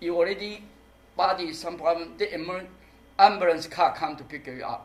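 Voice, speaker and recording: Against noticeable background noise, a man with a high pitch speaks at a moderate pace, showing ordinary pitch variation and big swings in loudness. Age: 60s. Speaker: performance artist. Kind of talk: public talk Q&A. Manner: halting.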